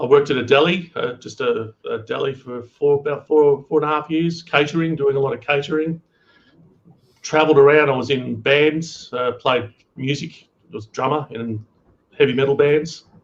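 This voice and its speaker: Moderate pace and fairly even intonation, with an Australian accent. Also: man, fairly high pitch for a man. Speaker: cooking youtuber. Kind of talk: casual chat.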